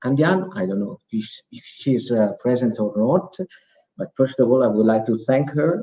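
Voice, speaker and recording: A man's medium-pitched voice with lively intonation and an Italian accent. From Italy, Veneto. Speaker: program participant presenting project. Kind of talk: presentation. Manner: halting.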